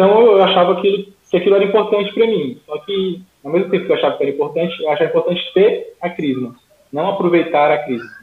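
Talking at a very fast pace, a man with a high voice shows big swings in loudness and ordinary pitch variation. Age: 20s. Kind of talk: casual interview, faith testimony.

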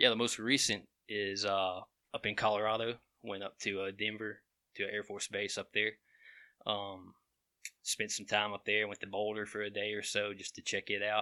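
A man with a Southern US accent speaks at a moderate pace and fairly low pitch, his tone bright and sharp. His intonation is monotone and flat, with long, frequent pauses, on a very clean, dry, close recording with no echo and a silent background. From Alabama, Walker County. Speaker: GIS mapping professional. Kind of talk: casual chat.

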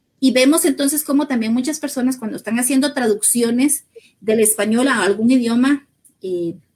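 At a moderate pace, a woman with a high pitch speaks with ordinary pitch variation. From Guatemala, Sololá highlands. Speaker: human rights specialist. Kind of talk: interview.

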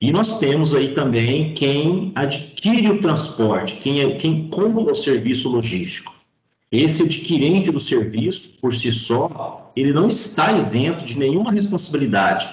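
A man talks at a fairly slow pace in a fairly high pitch, somewhat breathy, with very wide pitch swings. Audible room echo surrounds him. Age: 40s. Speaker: road safety and claims specialist, retired highway police officer. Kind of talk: podcast interview.

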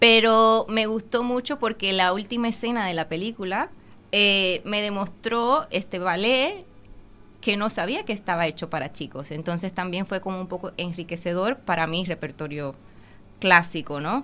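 A woman with a bright, sharp tone and medium pitch speaks with lively intonation on a very clean recording with a silent background. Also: moderate pace. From Dominican Republic. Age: 20s. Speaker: ballet dancer. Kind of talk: interview.

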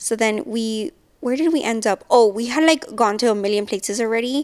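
On a very clean recording with a silent background, a woman with an unremarkable speaking voice talks at a moderate pace and a fairly high pitch. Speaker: podcast host. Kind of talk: casual chat.

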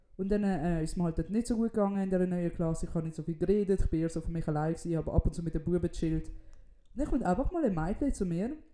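A woman speaks very fast in a dark, mellow tone. Her pitch is fairly low, with ordinary variation. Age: 20s. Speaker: comedian and podcast co-host. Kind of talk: casual chat. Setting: in a friend's apartment.

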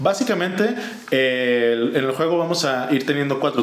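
Lively intonation in a Mexican accent, with audible room echo and noticeable background noise. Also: man. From Mexico. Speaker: board game podcast co-host. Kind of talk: casual chat. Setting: video podcast.

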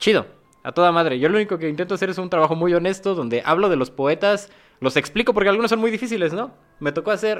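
Lively intonation carries the speech along at a fairly quick pace. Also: man. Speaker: literary magazine editor and poet. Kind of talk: casual interview.

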